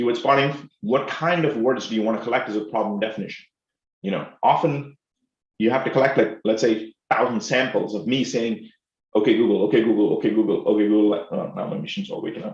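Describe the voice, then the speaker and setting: A man with an Indian accent speaks very fast at a medium pitch, with ordinary pitch variation. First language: Telugu. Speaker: professor. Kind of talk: lecture. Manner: animated.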